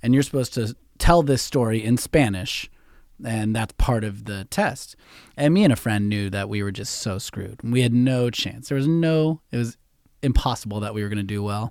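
This very clean recording with a silent background captures a man with a Californian accent. He speaks at medium pitch and a moderate pace with ordinary pitch variation. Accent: general American, Californian. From San Francisco Bay Area. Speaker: podcast host. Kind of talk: casual interview chat. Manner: casual, profane, rambling.

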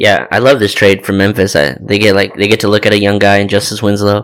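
A man rattles along at a very fast pace, at a fairly low pitch with vocal fry. His pitch varies in an ordinary way. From Torrance, Los Angeles area, California. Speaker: basketball podcast co-host. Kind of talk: casual chat.

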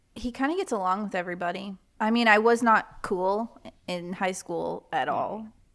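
A woman with a plain, everyday voice speaks at a moderate pace and medium pitch, with ordinary pitch variation. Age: 20s. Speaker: podcaster. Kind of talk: casual chat.

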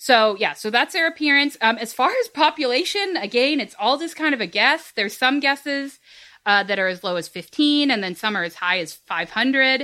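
On a very clean recording with a silent background, a woman projects a raised, high-pitched voice, bright and sharp in tone, at a moderate pace with very wide pitch swings. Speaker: podcast host. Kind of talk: casual chat.

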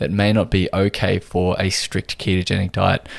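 The background is silent and the recording very clean. A man talks with an Australian accent. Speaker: podcast host and nutritional therapist. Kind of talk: solo podcast talk.

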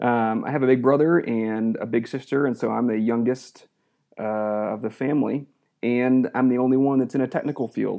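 Using an ordinary speaking voice, a man with an American accent talks at a moderate pace with medium pitch and fairly even intonation. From Georgia, US South (raised there from early teens; early childhood in Western New York). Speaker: missionary pilot. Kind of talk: interview conversation.

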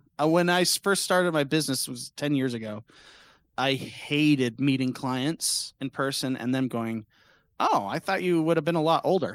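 On a very clean recording with a silent background and a dry, close sound with no echo, a man with a fairly high pitch uses an ordinary speaking voice at a moderate pace with ordinary pitch variation. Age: 30s. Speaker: streamer and podcast guest. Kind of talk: casual chat.

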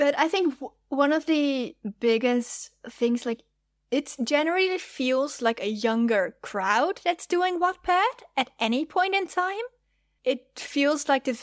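A woman with a Dutch accent speaks at a fairly slow pace with lively intonation, recorded dry and close with no echo. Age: 20s. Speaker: fanfiction writer. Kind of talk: casual interview chat.

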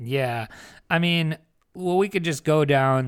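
Lively intonation marks a normal speaking voice in a very clean recording with a silent background. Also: man. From New Jersey. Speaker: podcast co-host. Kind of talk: casual chat. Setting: hotel room.

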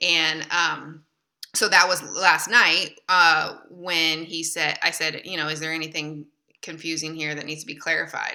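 A woman's very deep, low voice with a bright, sharp tone, a Midwestern American accent and monotone, flat intonation. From Michigan, US. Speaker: literary and speaking agent. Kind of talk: casual chat.

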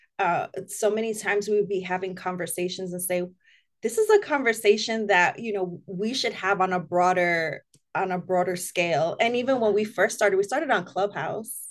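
At a moderate pace, a woman speaks in an unremarkable speaking voice with a medium pitch and ordinary pitch variation against a quiet background. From Spanish Harlem, New York City. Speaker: minister. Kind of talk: casual chat.

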